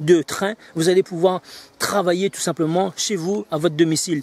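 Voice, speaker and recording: Animated in tone, a man speaks at a high pitch, the sound dry with no echo. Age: 40s. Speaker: business coach selling online training. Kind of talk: sales pitch. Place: garden.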